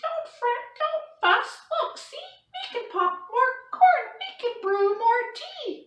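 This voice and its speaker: An extremely high, squeaky put-on character voice talks at a fairly slow pace with a slight echo. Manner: soothing, placating.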